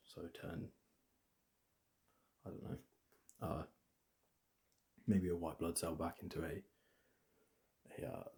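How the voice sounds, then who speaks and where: Whispering with vocal fry, a soft-spoken man talks at a fairly slow pace. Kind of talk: ASMR book recommendations. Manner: soft-spoken, whispered.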